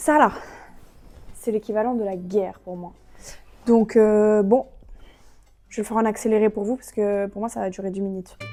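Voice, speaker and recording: A woman's fairly high voice at a moderate pace, fairly even in intonation, with big swings in loudness and long, frequent pauses. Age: 20s. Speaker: vlogger. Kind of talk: casual vlog talk to camera. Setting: at home in her apartment. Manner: casual, hesitant with fillers.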